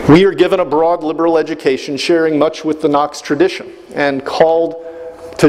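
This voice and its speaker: A man speaks with fairly high pitch. His intonation stays fairly even over noticeable background noise. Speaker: brigadier general, commencement speaker. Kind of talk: commencement address. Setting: large hall with audience and public address.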